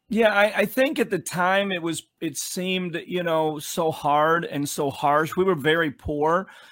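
On a very clean recording with a silent background, a high-pitched man speaks at a fairly slow pace with hardly any pauses. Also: ordinary pitch variation. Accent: Chicago. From Chicago, US Midwest. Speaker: pastor. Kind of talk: interview.

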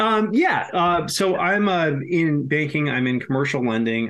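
An unremarkable speaking voice from a man with an American accent, ordinary pitch variation and a moderate pace. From Massachusetts. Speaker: screenwriter. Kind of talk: casual chat.

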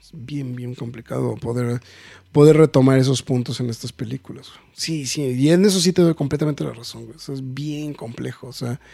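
A man with a normal speaking voice, medium in pitch, talks at a moderate pace with big swings in loudness. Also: ordinary pitch variation. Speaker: podcast host. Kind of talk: casual chat.

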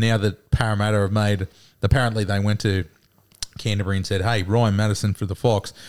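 A man with an Australian accent, fairly low in pitch, with monotone, flat intonation. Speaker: podcast co-host.

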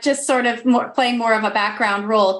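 A woman speaks in a high voice with a Canadian accent and ordinary pitch variation. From western Canada (Alberta). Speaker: activist group coordinator hosting an online show. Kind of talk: hosted panel interview. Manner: warm, effusive.

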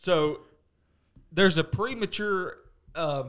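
A man with a Southern US accent on a very clean recording with a silent background. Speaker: podcast co-host, golfer. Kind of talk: casual chat. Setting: studio.

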